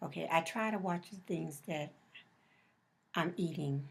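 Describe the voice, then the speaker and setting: A woman talks in a fairly low, somewhat breathy voice. Her pace is fairly slow. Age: 60s. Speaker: interviewee, mother of the interviewer. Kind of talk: interview. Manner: halting.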